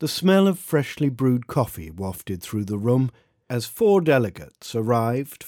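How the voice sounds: Quiet background behind a natural reading voice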